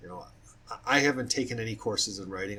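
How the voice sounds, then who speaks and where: Ordinary pitch movement in a male voice. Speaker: fiction writer. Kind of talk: casual talk about own writing. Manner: fast; halting, with restarts.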